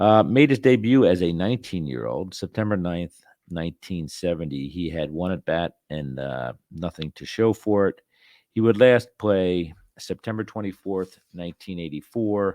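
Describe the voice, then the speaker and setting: In a Philadelphia accent, a man with a very deep, low pitch and a dark, mellow tone speaks at a moderate pace with lively intonation and big swings in loudness, the sound dry and close with no echo against a quiet background. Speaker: podcast host. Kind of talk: casual monologue. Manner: hesitant, many fillers.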